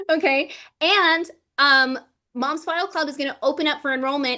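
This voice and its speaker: In a quiet background, a woman with a high pitch uses a raised, projected voice with a bright, sharp tone. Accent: American. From US South (Georgia and Florida). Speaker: livestream host and laser business creator. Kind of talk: livestream chat. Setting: livestream video call. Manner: animated.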